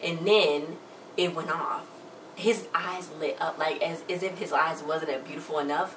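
With an American accent, a woman speaks fairly slowly in a fairly low, animated voice over noticeable background noise. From Chicago, US. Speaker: YouTuber. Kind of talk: TV review recap. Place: home room. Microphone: phone near.

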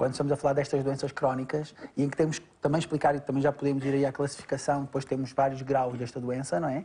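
Very fast with hardly any pauses, the voice is somewhat breathy, with a dark, mellow tone and flat, monotone intonation. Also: man, fairly high pitch for a man. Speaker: doctor. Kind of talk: educational medical talk.

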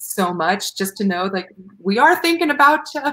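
Her intonation lively, a woman talks with an American accent. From US South. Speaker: opera singer; guest. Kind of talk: casual chat. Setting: video call. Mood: earnest, heartfelt. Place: home room.

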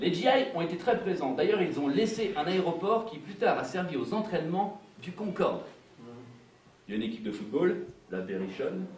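Lively intonation at a moderate pace, broken by long, frequent pauses, amid audible room echo and light background noise. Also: man, high pitch for a man. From Indre, France. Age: 40s. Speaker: solo storyteller performer. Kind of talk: autobiographical stage monologue. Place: stage. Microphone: camera far.

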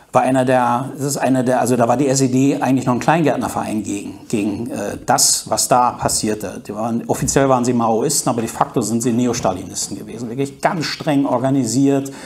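Fairly even intonation from a man, with noticeable background noise. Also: medium pitch for a man, fairly quick pace, hardly any pauses. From East Germany. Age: 50s. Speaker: journalist. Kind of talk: talk to an audience. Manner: hesitant, many fillers.

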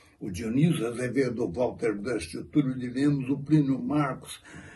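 A man talks with lively intonation. Vocal fry runs through his voice. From Brazil. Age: 80s+. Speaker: actor. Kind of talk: heartfelt tribute monologue. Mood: moved, solemn. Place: home room. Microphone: phone near.

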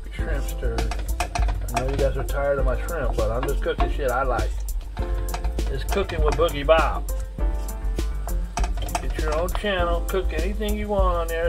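With clear music in the background, a woman speaks at a moderate pace, leaving long, frequent pauses. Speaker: home cook vlogger. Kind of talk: casual cooking vlog chat. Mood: relaxed, joking, profane. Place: kitchen. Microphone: phone near.

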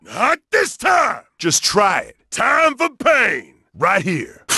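Put-on character voice from a man, pitched extremely high and delivered very slowly. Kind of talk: fighting game combat shouts. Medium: video game character voice. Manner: shouted, aggressive, cocky.

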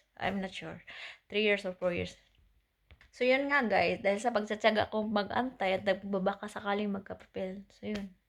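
With a normal speaking voice, a woman keeps a medium pitch and fairly even intonation at a moderate pace. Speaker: vlogger. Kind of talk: casual personal story to camera.

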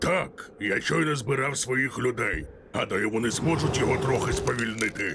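A man puts on a character voice at a medium pitch, his loudness very even. Clear background noise runs behind him. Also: moderate pace. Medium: fan dub.

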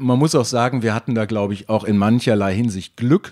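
This man has a normal speaking voice at a medium pitch and a moderate pace. The sound is dry and close, with no echo. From Germany, near Dutch border. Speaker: former climbing gym owner. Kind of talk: interview.

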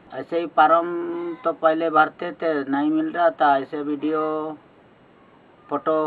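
Very slow pace from a man. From Jharkhand, India. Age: 60s. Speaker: pensioner. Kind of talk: interview answers. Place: open country. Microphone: phone near.

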